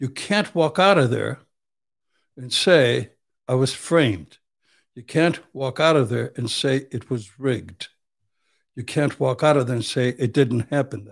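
A man's medium-pitched voice with vocal fry, a fairly slow pace, long and frequent pauses, and big swings in loudness, on a very clean recording with a silent background. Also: ordinary pitch variation. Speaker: Vietnam veteran and criminal defense attorney. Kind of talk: casual chat. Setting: studio. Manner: blunt, uncensored.

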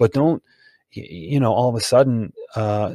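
Here is an ordinary speaking voice with fairly even intonation. The sound is dry and close, with no echo. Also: man. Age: 40s. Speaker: sales consultant and author. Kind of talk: casual interview.

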